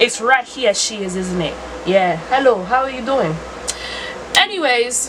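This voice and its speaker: Over noticeable background noise, a woman with a high pitch talks at a fairly slow pace with long, frequent pauses, very wide pitch swings and big swings in loudness. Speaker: lifestyle vlogger. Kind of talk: casual vlog monologue. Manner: animated.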